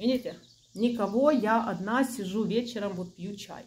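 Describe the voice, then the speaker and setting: A woman's fairly high voice at a moderate pace, with light background noise. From Ukraine. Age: 40s. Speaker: video blogger. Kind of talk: casual monologue to camera. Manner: friendly, chatty. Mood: calm, earnest. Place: home room. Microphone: phone near.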